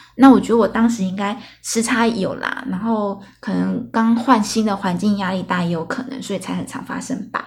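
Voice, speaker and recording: With hardly any pauses, a woman speaks in an ordinary speaking voice at medium pitch with fairly even intonation. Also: moderate pace. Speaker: podcast host. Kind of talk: casual solo storytelling monologue. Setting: solo recording late at night. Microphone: new recording equipment.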